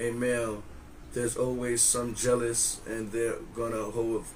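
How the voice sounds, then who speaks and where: Audible room echo around a man's medium-pitched, monotone, flat delivery at a fairly slow pace. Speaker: podcast co-host. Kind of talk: casual chat. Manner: loud.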